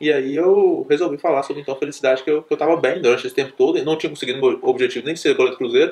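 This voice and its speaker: A man races through his words at a very fast pace as noticeable noise fills the background. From Minas Gerais, Brazil (interior). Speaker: doctor. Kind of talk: casual storytelling talk. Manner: animated.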